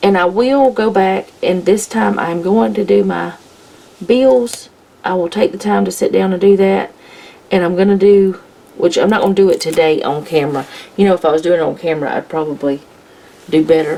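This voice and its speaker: Quiet and at a moderate pace, a woman speaks with lively intonation and long, frequent pauses over noticeable background noise. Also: fairly low pitch for a woman. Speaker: planner vlogger, homemaker. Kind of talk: casual plan-with-me tutorial. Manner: relaxed, thinking aloud.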